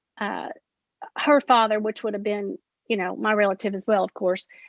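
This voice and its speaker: A woman's voice sits fairly high. It sounds close and dry, with no echo at all. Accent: Appalachian. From Appalachia. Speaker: poet. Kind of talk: panel discussion.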